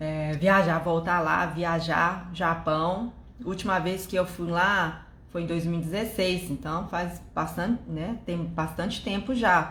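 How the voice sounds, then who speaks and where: Audible room echo surrounds a woman speaking at a very slow pace. Her voice is fairly low, with fairly even intonation. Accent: Japanese. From Japan. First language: Japanese (speaking Portuguese). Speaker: live stream host. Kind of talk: live stream chat.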